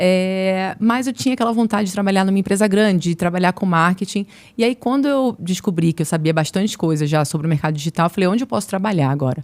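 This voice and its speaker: The recording is very clean, with a silent background. Speech comes very fast with hardly any pauses, very even loudness and lively intonation. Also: woman, medium pitch for a woman. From Brazil, Niterói (Rio de Janeiro state). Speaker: marketing executive. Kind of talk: podcast interview.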